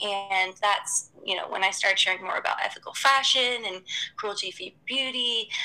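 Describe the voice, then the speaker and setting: A woman speaks at a moderate pace with an American accent and a fairly high pitch. Her pitch varies in an ordinary way, and there is noticeable background noise. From US South, Atlanta. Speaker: sustainable lifestyle blogger and entrepreneur. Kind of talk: casual interview.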